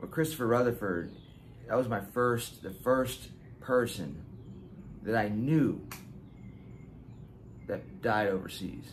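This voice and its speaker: A very slow, somewhat breathy delivery with long, frequent pauses, ordinary pitch variation and light background noise. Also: man. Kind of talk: personal storytelling vlog. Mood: somber, reflective, halting. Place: garden. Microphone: phone near.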